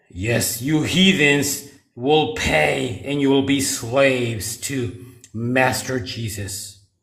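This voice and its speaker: A man speaks at a medium pitch in a put-on character voice. His delivery is very slow. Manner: menacing, theatrical, overblown.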